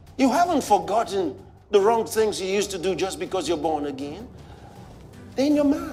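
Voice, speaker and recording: Over music in the background, a man with a Nigerian accent and a high pitch speaks at a fairly quick pace with very wide pitch swings and long, frequent pauses. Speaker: pastor. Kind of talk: sermon.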